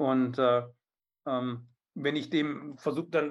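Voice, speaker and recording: A man's fairly high voice rises and falls with ordinary pitch variation. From southern Germany, Biberach an der Riss (Swabia). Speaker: riding instructor and author. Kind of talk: casual interview. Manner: hesitant, many fillers and repetitions.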